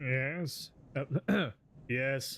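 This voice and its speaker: A man's put-on character voice with ordinary pitch variation. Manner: quizzical.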